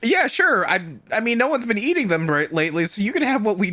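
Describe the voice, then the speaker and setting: A female-sounding put-on character voice races at a very fast pace, fairly high in pitch with very wide pitch swings. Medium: actual play. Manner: nervous, fast, defensive.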